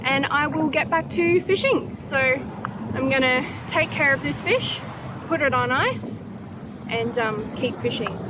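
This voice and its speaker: In a strong Australian accent, the speaker sounds upbeat, talking at a fairly slow pace with very even loudness over noticeable background noise. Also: woman. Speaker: angler. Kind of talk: casual talk to camera. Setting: outdoors.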